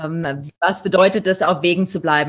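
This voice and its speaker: Very slowly and in a flat monotone, a woman talks at a fairly low pitch against a quiet background. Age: 40s. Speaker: safari tour operator. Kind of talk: interview.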